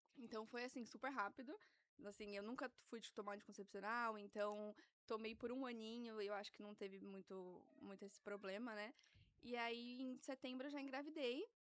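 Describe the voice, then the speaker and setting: A woman speaks in a plain, everyday voice at a moderate pace. Her pitch is fairly high, with ordinary variation. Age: 20s. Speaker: guest mother sharing birth story. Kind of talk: casual interview chat. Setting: studio.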